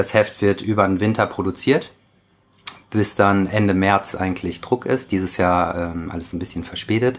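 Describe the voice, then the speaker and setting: This man's intonation stays fairly even. He talks at a moderate pace. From Germany. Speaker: surf magazine editor. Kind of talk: interview. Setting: at his home.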